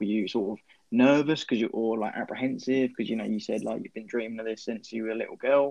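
A man with a medium pitch and an English accent. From England. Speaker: podcast co-host. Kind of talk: casual interview.

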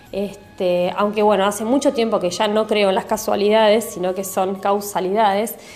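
There is noticeable background noise behind a woman's voice. She speaks at a moderate pace and medium pitch, in a monotone, flat intonation. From Argentina, Mar del Plata (Buenos Aires province). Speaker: numerologist and Reiki teacher. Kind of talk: interview answers.

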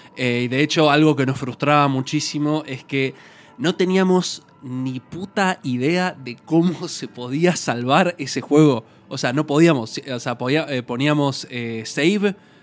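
A man with a Rioplatense accent speaks in a fairly high voice, his loudness swinging widely, over background music. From Argentina. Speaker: podcast host. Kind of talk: casual chat.

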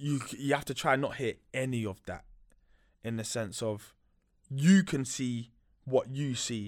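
A man with a London accent at a medium pitch, fairly slow, with long, frequent pauses and ordinary pitch variation, in a very clean recording with a silent background. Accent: London, multicultural London English. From West London. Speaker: recording studio owner. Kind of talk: casual interview. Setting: studio.

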